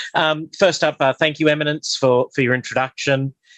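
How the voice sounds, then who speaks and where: A man at a moderate pace, recorded dry and close with no echo. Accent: Australian. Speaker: bishop and parish priest. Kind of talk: lecture; guided meditation. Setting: video call from a metal shed on a hotspot.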